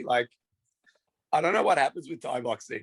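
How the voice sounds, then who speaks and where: The voice belongs to a man. It sounds dry and close, with no echo. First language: not English. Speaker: fight promoter. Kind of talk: casual chat.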